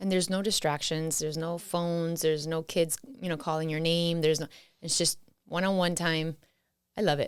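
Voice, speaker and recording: Speaking at a fairly quick pace with an American accent, a woman with a fairly low pitch delivers her lines in a monotone, flat intonation on a very clean recording with a silent background. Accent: Miami accent, once strong, now lighter. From Miami, Florida. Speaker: podcast guest, spouse of host. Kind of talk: casual chat. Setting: home studio recording with cameras.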